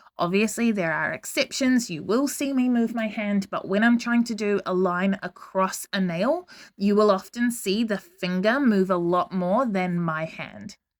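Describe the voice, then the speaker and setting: A woman speaks at a fairly slow pace with hardly any pauses, using an ordinary speaking voice at medium pitch with ordinary pitch variation, on a very clean recording with a silent background. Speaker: nail art educator. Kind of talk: tutorial voice-over narration. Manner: casual, chatty.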